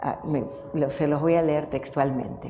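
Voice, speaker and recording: Over noticeable background noise, a woman speaks at a fairly slow pace. Audible room echo surrounds her voice. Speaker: family therapist and professor. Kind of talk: tribute speech. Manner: soft-spoken.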